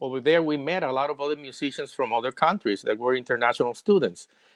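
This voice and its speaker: A man with a Puerto Rican accent talks in a fairly high pitch with ordinary pitch variation. The background is quiet. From Puerto Rico. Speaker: singer-songwriter. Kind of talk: interview.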